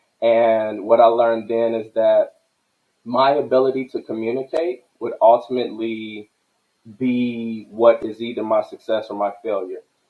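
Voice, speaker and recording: An ordinary speaking voice from a man, medium in pitch, moderately paced, intonation fairly even. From Chicago, South Side. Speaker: army veteran and cannabis entrepreneur. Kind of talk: podcast interview.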